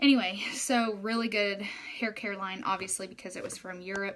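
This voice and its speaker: In an Oklahoma accent, a woman speaks with fairly even intonation. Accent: Oklahoman. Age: 20s. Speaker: hairstylist turned direct-sales marketer. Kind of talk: casual live video talk.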